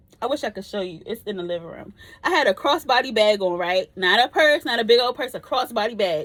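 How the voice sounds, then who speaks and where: Speaking at a very fast pace, a woman uses lively intonation and an animated tone at a fairly high pitch, with big swings in loudness. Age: 30s. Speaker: vlogger. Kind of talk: casual chat.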